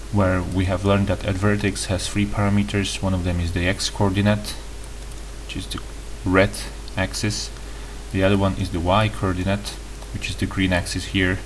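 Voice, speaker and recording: Over noticeable background noise and audible room echo, a man with a non-native accent speaks at a moderate pace with long, frequent pauses. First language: not English. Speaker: tutorial youtuber. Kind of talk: tutorial. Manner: halting, with self-corrections.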